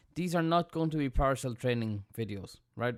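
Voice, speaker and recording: In an Irish accent, a man talks at a very fast pace with ordinary pitch variation. The recording is very clean, with a silent background. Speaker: sysadmin tech tutor. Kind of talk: tutorial. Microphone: big studio mic.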